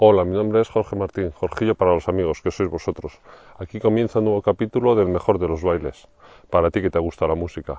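Delivering at a very fast pace, a man keeps his intonation fairly even. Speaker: music video blogger. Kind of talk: field recording vlog. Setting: outdoors. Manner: halting.

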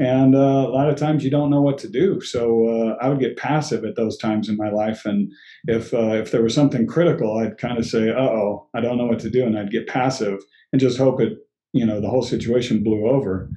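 A man at medium pitch with ordinary pitch variation and a fairly quick pace, music in the background. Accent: American. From Colorado, US. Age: 50s. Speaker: guest sharing life story. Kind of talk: casual interview. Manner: halting, with frequent repeats.

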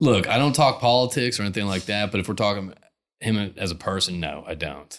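Using a normal speaking voice, a man talks at a fairly low pitch and fairly quick pace. The recording is very clean, with a silent background. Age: 40s. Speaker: podcast host. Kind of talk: casual interview chat. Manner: rambling, filler-heavy.

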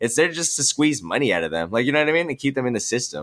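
On a very clean recording with a silent background, a man speaks with a Californian accent. His pitch is medium and his pace very fast. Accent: Californian American English. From Los Angeles, San Fernando Valley. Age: 20s. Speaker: music producer and student. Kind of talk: casual chat.

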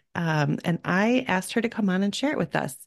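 A woman's medium-pitched, normal speaking voice with lively intonation over a quiet background. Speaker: podcast host and parent coach. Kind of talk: casual interview chat.

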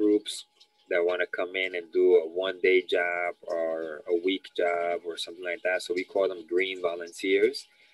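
This man has a New York accent. He speaks at a fairly slow pace. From New York City, Lower East Side. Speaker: youth environmental educator. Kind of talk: interview.

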